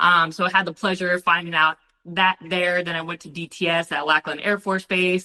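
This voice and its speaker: A woman talks loudly at a fairly quick pace. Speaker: Marine Corps veteran and dog trainer. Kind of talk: casual interview. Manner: energetic.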